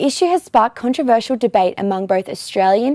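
Over a quiet background, a woman talks very fast with a dark, mellow tone in a dry sound with no echo. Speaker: news presenter. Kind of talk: news report reading. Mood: serious, neutral. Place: studio. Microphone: lapel.

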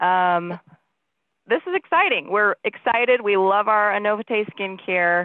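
The woman's voice comes through dry with no echo over a quiet background. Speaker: company executive and skincare panel host; skincare panel host. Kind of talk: casual promotional panel chat. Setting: video call. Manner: upbeat, enthusiastic. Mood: upbeat, friendly. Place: home room. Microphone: headset.

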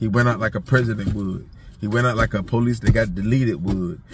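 Over noticeable background noise yet with a dry sound and no echo, a man speaks at a fairly quick pace and fairly low pitch, somewhat breathy, with fairly even intonation. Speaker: vlogger. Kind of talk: casual vlog commentary. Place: car. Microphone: phone near.

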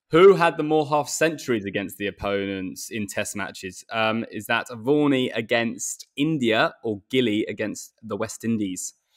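In an English accent, the speaker keeps a moderate pace with hardly any pauses and lively intonation. The background is quiet. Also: man. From England. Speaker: cricketer, podcast co-host; podcast co-host. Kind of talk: casual chat. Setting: video call. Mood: relaxed, jokey. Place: home room. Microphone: earbuds.

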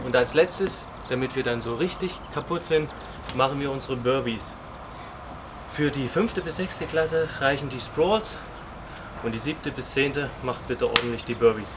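A man speaks at a moderate pace with ordinary pitch variation and long, frequent pauses, with noticeable background noise behind him. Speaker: school sports teacher. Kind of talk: exercise tutorial. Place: open country. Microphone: camera far.

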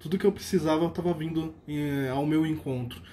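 The voice has a dark, mellow tone with ordinary pitch variation. It moves at a fairly quick pace. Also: man. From Brazil, São Paulo. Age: 30s. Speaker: religious lay lecturer and university employee. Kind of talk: personal religious testimony, a grateful first-person faith story. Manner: earnest and warm, with frequent hesitation fillers (é, eh); steady, reflective storytelling pace. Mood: grateful, earnest. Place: home room. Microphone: phone near.

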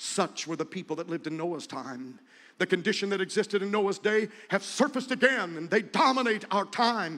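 A man's raised, projected voice, high-pitched with a bright, sharp tone, very wide pitch swings, a moderate pace and a quiet background. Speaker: pastor, preacher. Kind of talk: sermon, preaching at a revival. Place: tent. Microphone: handheld.

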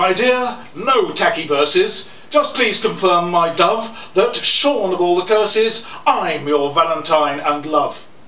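Audible room echo surrounds a man who speaks at a fairly slow pace in a high pitch with lively intonation. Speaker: poet. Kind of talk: poetry reading. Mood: playful, humorous. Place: cafe. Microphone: camera far.

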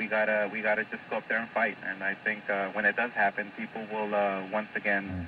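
Over noticeable background noise, a man speaks at a fairly quick pace in a fairly low, monotone, flat voice, the sound dry with no echo. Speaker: phone-in guest. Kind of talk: interview answer. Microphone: phone line.

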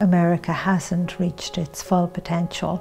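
In an Irish accent, a woman talks at a moderate pace with a fairly low pitch. Faint music plays in the background. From Ireland. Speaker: spiritual teacher and author. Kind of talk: personal testimony to camera. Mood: calm, gentle, earnest. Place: home room.

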